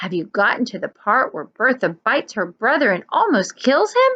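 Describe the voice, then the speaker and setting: Here a woman puts on a character voice. Her pitch sits fairly high. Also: moderate pace. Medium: read story.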